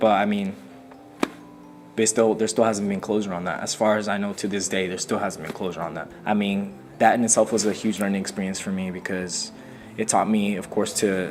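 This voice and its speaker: A man with a Spanish accent, fairly low in pitch, at a fairly quick pace in a flat monotone, with music in the background. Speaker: hip-hop artist. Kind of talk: interview. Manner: casual, hesitant with many fillers.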